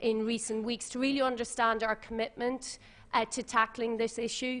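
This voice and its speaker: In an Irish accent, a woman speaks at a fairly high pitch with monotone, flat intonation. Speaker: tech company policy manager, former journalist. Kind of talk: panel talk. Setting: conference with audience. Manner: formal.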